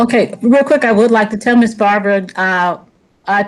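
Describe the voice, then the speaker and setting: A normal speaking voice with fairly even intonation at a moderate pace. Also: woman. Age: 60s. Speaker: myeloma patient. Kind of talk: audience question.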